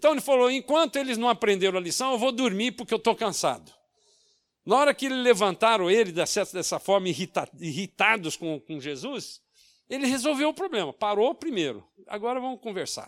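A man's extremely high-pitched voice with very wide pitch swings at a moderate pace, in a very clean recording with a silent background. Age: 70s. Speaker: pastor. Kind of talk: sermon. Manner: halting.

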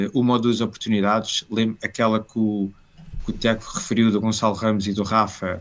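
Speaking at a fairly low pitch, a man delivers his words in a monotone, flat intonation. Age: 30s. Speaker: football commentator. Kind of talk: casual chat.

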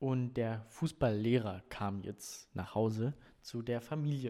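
The man has a medium-pitched, dark, mellow voice with ordinary pitch variation. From Brandenburg, Germany (Neuruppin). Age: 20s. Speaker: volunteer at a tourist information office. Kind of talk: casual interview.

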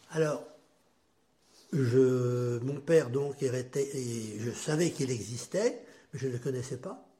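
A man with a medium pitch and a dark, mellow tone sounds somewhat breathy, speaking at a very slow pace with ordinary pitch variation and long, frequent pauses. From western France, Châteaubriant area. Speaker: grandfather telling life story, Algerian war veteran. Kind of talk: life-story interview.

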